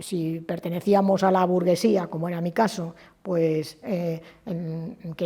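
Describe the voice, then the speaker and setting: A woman speaks in a dark, mellow tone at a fairly low pitch. Her voice is somewhat breathy. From Spain, Madrid. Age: 70s. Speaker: trade unionist. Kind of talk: oral history interview. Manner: hesitant, with fillers and false starts.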